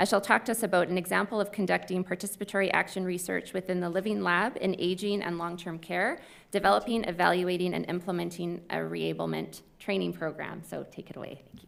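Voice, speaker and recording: A woman with a Canadian accent talks at a very fast pace with hardly any pauses. Her loudness swings widely. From Canada. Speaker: session moderator, researcher. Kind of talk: conference Q&A moderation.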